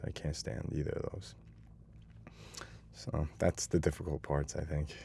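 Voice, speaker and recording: At a fairly quick pace, a man with a very deep, low pitch and vocal fry speaks in a New York accent. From Hastings-on-Hudson, New York. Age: 30s. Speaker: police officer. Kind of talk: interview answer.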